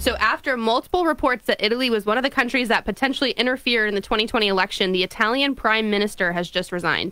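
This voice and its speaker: A woman's fairly high voice at a very fast pace. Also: ordinary pitch variation, dry sound with no echo. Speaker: radio co-host. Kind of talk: political talk radio. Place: studio. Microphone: studio mic.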